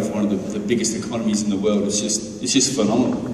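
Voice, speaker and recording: Audible room echo and light background noise surround a man talking at a very fast pace. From Perth, Western Australia. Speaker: former boxer, interviewer. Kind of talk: stage Q&A interview. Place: gym.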